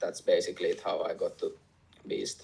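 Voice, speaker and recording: A man with a Finnish accent. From Finland. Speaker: MMA fighter and fight news reporter. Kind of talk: interview. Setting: remote call from home. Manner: halting, hesitant.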